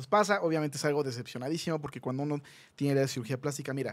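A man with an animated tone and fairly high pitch. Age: 30s. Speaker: plastic surgeon; guest. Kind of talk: casual chat. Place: studio. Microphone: studio mic.

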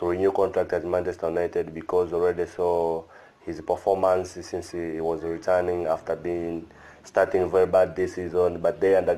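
Speaking at a moderate pace, a man uses a very deep, low pitch and a dark, mellow tone with monotone, flat intonation. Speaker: sports channel vlogger. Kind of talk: casual vlog commentary. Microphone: webcam.

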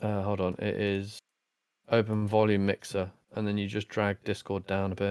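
Monotone, flat intonation at a moderate pace, on a very clean recording with a silent background and a dry, close sound with no echo. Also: man, fairly low pitch for a man. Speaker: gamer joining a charity stream. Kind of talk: casual chat. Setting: voice chat on a game stream. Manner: loud.

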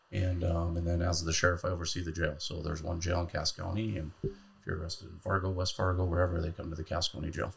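A man speaks at a very fast pace in a very deep, low, somewhat breathy voice. His intonation is monotone and flat, with noticeable background noise behind him. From North Dakota. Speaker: county sheriff. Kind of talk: casual interview. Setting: studio. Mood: calm, measured. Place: studio. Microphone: studio mic.

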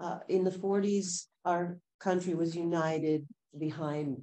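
A woman speaks in a dark, mellow tone. Her pitch varies in an ordinary way. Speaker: civic engagement advocate. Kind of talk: community group discussion. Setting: in-person community gathering. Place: meeting room. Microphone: camera far.

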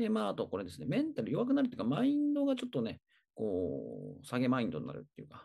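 The background stays quiet. Here a man speaks very fast. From Tokyo. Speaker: personal trainer. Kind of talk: tutorial. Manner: hesitant, many fillers.

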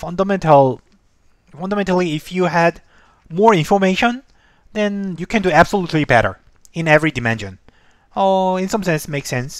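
Speaking at a fairly quick pace with ordinary pitch variation, this voice sounds dry with no echo against a quiet background. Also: man, high pitch for a man. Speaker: instructor. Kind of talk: lecture. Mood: relaxed, light laughter. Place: home room. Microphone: headset.

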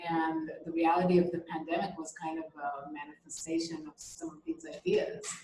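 A woman with a fairly low pitch talks at a fairly quick pace in a monotone, flat delivery, with audible room echo and light background noise. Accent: American. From Israel, raised partly in US (Georgia) and Europe. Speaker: artist. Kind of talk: interview. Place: home room. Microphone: video call.

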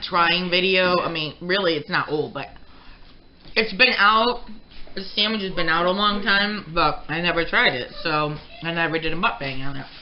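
Using a normal speaking voice, a woman talks at a fairly low pitch and moderate pace with ordinary pitch variation, light noise behind her. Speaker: mukbang vlogger. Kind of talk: casual vlog chat. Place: kitchen.

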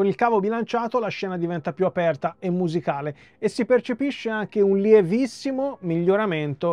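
The man speaks at a moderate pace, and the sound is dry with no echo. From Italy. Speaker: hi-fi and music YouTuber; audio reviewer. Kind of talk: product review. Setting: small home studio. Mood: calm, expressive explaining.

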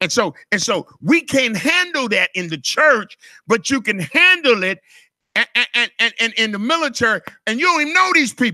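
A man speaks in a raised, projected voice at an extremely high pitch, with a bright, sharp tone, very wide pitch swings and an animated delivery at a moderate pace, recorded dry with no echo against a quiet background. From US South. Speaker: pastor. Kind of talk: sermon: call-and-response church teaching on authority, with scripture and asides. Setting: church. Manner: animated, repetitive preacher cadence with stacked words; playful, teasing asides to the congregation. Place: church. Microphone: handheld.

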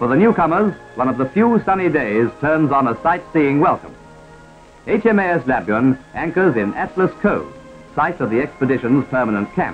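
Over background music, a man with an Australian accent talks at a moderate pace in a fairly high pitch, his voice swinging very widely up and down. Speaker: newsreel commentator. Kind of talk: 1940s newsreel narration. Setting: vintage archival recording. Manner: brisk, humorous.

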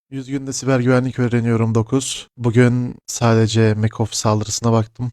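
Dry and close with no echo, a man's dark, mellow voice holds a medium pitch, a moderate pace and monotone, flat intonation. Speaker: tech vlogger learning cybersecurity. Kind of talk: tutorial.

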